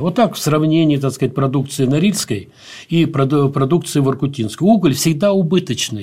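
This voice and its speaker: The recording is very clean, with a silent background. A man with a dark, mellow, somewhat breathy tone speaks with lively intonation. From grew up in Azerbaijan, Dagestan and Ukraine. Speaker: architect and educator researching the Arctic. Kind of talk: interview. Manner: halting, many fillers and restarts.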